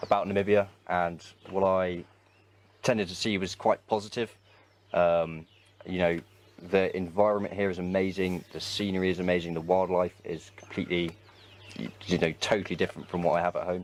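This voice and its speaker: A man with an English accent and a very deep, low pitch, fairly quick yet with long, frequent pauses, in monotone, flat intonation. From England, West Midlands. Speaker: anti-poaching trainee volunteer, army reservist. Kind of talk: interview.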